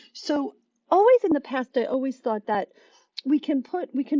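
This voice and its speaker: Recorded with a dry, close sound and no echo, a woman's dark, mellow voice moves at a moderate pace through very wide pitch swings. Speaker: Bible journaling teacher. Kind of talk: devotional talk. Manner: halting.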